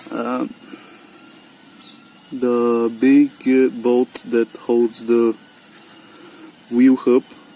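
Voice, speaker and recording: A very slow voice with a non-native accent, long and frequent pauses, and noticeable background noise. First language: non-native English speaker. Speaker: car DIY hobbyist. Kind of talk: DIY repair tutorial talk to camera. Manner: hesitant, many fillers.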